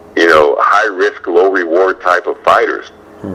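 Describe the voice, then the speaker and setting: Noticeable noise in the background accompanies a man speaking at a medium speed. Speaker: boxing ring announcer. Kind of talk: interview answer, boxing analysis.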